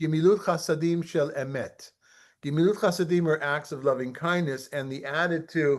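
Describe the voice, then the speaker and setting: A plain, everyday voice. The man speaks at a moderate pace with fairly even intonation and a fairly high pitch. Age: 60s. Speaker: rabbi teaching a study group. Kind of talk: online study class.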